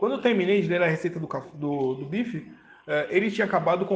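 A man races along at a very fast pace with ordinary pitch variation. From Brazil. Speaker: podcast host reading a medical article. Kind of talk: reading aloud with commentary. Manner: halting, with filler words.

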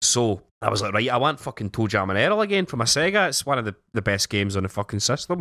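Speaking very fast with a Scottish accent, a man at medium pitch swings his pitch very widely, on a very clean recording with a silent background and a dry, close sound with no echo. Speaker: podcast host. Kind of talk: casual chat.

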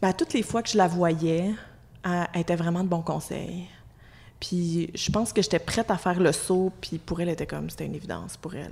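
A woman talks at a fairly quick pace in a fairly low pitch, with vocal fry. Her loudness swings widely. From Quebec, Abitibi (Amos). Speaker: employment lawyer. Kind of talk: casual chat.

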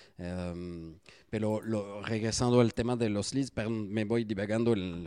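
A man's medium-pitched, dark and mellow voice with a slight French accent, fairly slow pace and ordinary pitch variation. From France. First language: French (speaking Spanish). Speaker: SEO agency founder. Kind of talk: interview. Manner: hesitant with many fillers.

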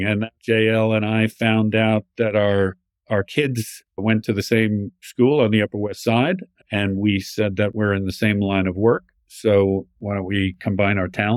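Fairly low in pitch, a man with a plain, everyday voice speaks at a fairly slow pace with fairly even intonation in a dry, close sound with no echo. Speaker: addiction specialist and former chef. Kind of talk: casual interview conversation.

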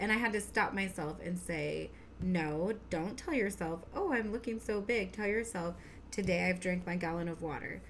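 A woman's medium-pitched voice with vocal fry, ordinary pitch variation, a moderate pace and audible room echo. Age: 30s. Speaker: podcast co-host, mom. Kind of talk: casual chat.

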